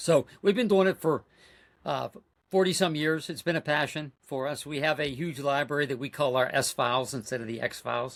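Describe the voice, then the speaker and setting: A man with an American accent and an unremarkable speaking voice talks at a moderate pace with a fairly high pitch and ordinary pitch variation in a very clean recording with a silent background. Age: 60s. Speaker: cryptid researcher. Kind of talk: podcast interview.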